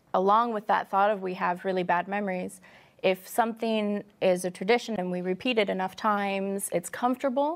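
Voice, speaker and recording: This woman has a plain, everyday voice with an American accent and medium pitch. Her pitch variation is ordinary, on a very clean recording with a silent background. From US Midwest. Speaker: Bible study panelist. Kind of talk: casual chat.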